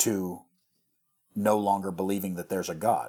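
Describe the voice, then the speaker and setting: Over a very clean recording with a silent background, a man with an American accent talks at a fairly low pitch in a monotone, flat intonation. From US Midwest, rural western Missouri. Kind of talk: casual chat.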